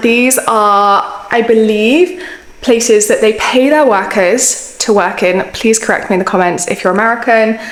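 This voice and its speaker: Someone speaks at a moderate pace with a British accent, with audible room echo and noticeable background noise. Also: woman. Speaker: fashion YouTuber. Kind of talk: casual vlog commentary. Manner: chatty.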